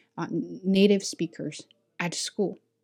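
A woman speaks in a Chinese accent. Her tone is dark and mellow, her pace moderate. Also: quiet background. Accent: Chinese accent, working to reduce it. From China. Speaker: ESL teacher and podcaster. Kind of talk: casual chat.

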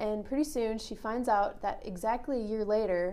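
A woman with a Minnesota accent, a fairly high pitch, a dark, mellow tone and a moderate pace. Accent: Upper Midwest (Minnesota) American. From rural Minnesota. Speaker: author and associate pastor. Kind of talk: interview.

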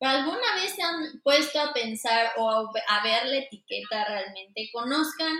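A woman at a fairly slow pace, with ordinary pitch variation and an unremarkable speaking voice. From Mexico City. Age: 20s. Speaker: fashion designer. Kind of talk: interview.

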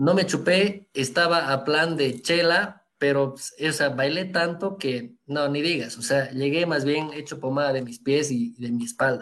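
A man with a plain, everyday voice and a fairly high pitch talks at a fairly slow pace. He hardly pauses at all. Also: ordinary pitch variation. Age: 30s. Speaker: photographer. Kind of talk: interview. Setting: live stream.

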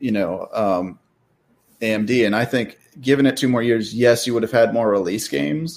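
A man with an unremarkable speaking voice at medium pitch talks at a moderate pace with ordinary pitch variation on a very clean recording with a silent background. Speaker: gaming YouTuber. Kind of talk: casual chat.

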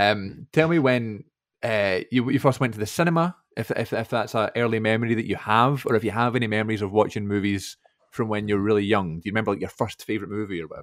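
A man talks at a very fast pace in a Scottish accent. His pitch is fairly low, with ordinary variation. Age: 20s. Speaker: podcast host. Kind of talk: casual chat.

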